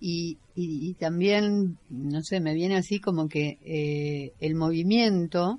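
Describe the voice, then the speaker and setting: Very slowly, a woman speaks at a fairly low pitch with ordinary pitch variation. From Caseros, Buenos Aires area. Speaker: community radio co-host. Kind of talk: casual radio chat.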